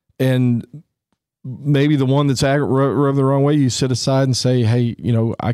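A man with a normal speaking voice talks at a moderate pace on a very clean recording with a silent background. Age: 50s. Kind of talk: casual chat.

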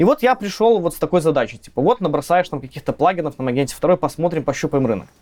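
Hardly any pauses break this man's very fast talking. His intonation stays lively throughout. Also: fairly high pitch for a man, dry, close sound with no echo. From Belarus, village near Minsk. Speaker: software tech lead. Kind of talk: casual technical interview. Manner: casual, slangy.

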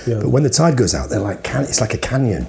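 Man with a Yorkshire accent and vocal fry. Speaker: podcast co-host. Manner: casual, animated storyteller.

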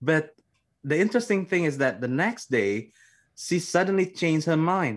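In a quiet setting, a man with an Indonesian accent talks at a fairly quick pace. His fairly high voice carries lively intonation. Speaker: theology graduate. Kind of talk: interview testimony.

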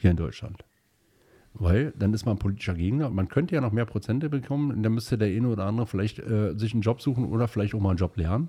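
Very fast speech from a man, with lively intonation and a dark, mellow, somewhat breathy tone, on a very clean recording with a silent background. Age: 40s. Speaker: state politician. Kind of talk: interview. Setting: studio.

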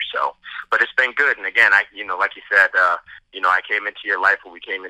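The audio is dry and close, without any echo. A man speaks very fast. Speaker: businessman, foundation founder. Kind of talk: casual conversation.

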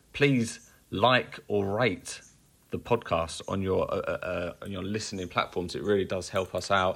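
In an English accent, a man speaks at a fairly slow pace and a fairly low pitch with ordinary pitch variation, on a very clean recording with a silent background. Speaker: metal podcast co-host. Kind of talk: casual chat.

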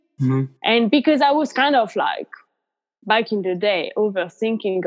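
At a moderate pace, a woman with a fairly high pitch makes very wide pitch swings. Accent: French. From France. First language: French. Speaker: yoga teacher and nutrition coach. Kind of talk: casual interview chat.

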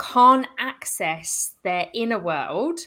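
A woman projects her raised voice with a bright, sharp tone. Her pitch swings very widely. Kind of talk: casual interview.

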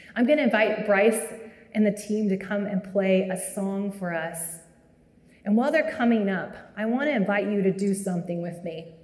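This woman has an unremarkable speaking voice at a medium pitch. She speaks at a moderate pace with ordinary pitch variation. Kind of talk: guided prayer. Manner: soft-spoken.

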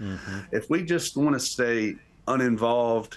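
This man speaks with a North Carolina accent and lively intonation. His pace is fairly slow. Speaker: graduate and civics teacher. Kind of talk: panel discussion. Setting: video call.

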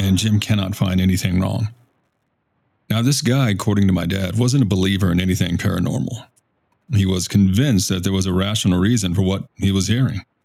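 An American-accented man talks at a fairly quick pace with fairly low pitch, ordinary pitch variation and very even loudness. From South Texas, Victoria. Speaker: podcast host. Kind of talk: storytelling. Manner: casual, folksy.

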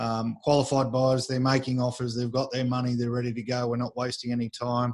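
Speaking with an Australian accent, a man talks at a fairly quick pace. His medium-pitched voice stays monotone, with flat intonation. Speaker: real estate agent, podcast host. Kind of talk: casual chat.

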